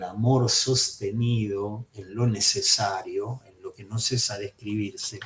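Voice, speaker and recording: Somewhat breathy and at a very slow pace, a man with a Rioplatense accent speaks at medium pitch. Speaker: psychoanalysis teacher. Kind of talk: lecture.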